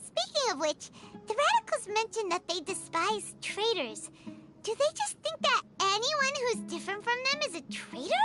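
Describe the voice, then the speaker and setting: A squeaky, put-on character voice sits at an extremely high pitch. Loud music plays in the background. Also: moderate pace. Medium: video game. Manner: eager, energetic.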